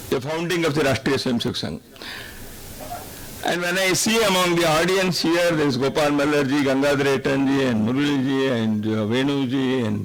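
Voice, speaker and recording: Over noticeable background noise and audible room echo, a man with a fairly high pitch talks at a moderate pace. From India, Karnataka. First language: Kannada. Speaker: invited speaker at a public function. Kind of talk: public speech. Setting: stage with audience.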